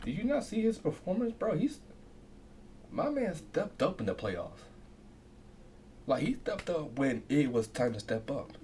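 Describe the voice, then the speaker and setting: A soft-spoken man with a high pitch and a dark, mellow tone talks at a moderate pace with very wide pitch swings. He leaves long, frequent pauses. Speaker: reaction video creator. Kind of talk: casual talk to camera.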